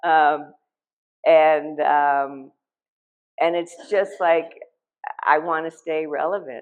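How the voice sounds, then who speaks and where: Someone with an American accent speaks in a monotone, flat intonation. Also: woman. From Ohio, US Midwest. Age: 60s. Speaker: artist. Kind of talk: artist talk at gallery. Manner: halting, many fillers.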